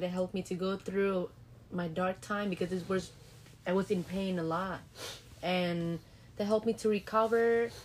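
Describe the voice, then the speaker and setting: In a Vietnamese accent, a woman speaks at a moderate pace with a medium pitch and long, frequent pauses. Her intonation is monotone and flat. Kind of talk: casual interview answers. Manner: slightly nervous, unsure.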